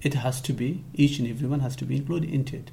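The voice belongs to a man with a fairly high pitch. It sounds somewhat breathy. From Afghanistan. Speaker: education rights advocate. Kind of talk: interview.

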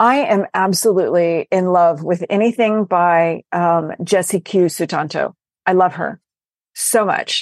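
A woman with a plain, everyday voice and an American accent speaks at a fairly slow pace, medium in pitch with ordinary pitch variation, in a dry, close sound with no echo over a quiet background. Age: 50s. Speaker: novelist. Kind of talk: casual chat.

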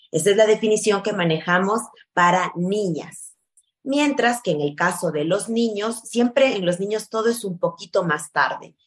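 A woman with a plain, everyday voice talks at a fairly slow pace, with ordinary pitch variation. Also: medium pitch for a woman. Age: 30s. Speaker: pediatric endocrinologist. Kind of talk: interview.

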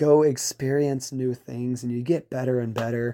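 In a Louisiana accent, a man with a dark, mellow tone speaks at medium pitch and a moderate pace, keeping his intonation fairly even. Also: very clean recording, silent background. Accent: Louisiana Southern US. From Louisiana, Baton Rouge. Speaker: salesperson and military member. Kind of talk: recorded personal testimony. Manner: hesitant, filler-heavy.

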